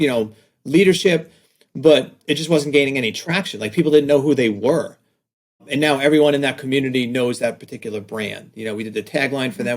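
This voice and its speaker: Speaking very fast with a slight New York accent, a man keeps a medium pitch with ordinary pitch variation and big swings in loudness. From New York, Staten Island. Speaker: design agency owner, author. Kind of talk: podcast interview. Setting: video call.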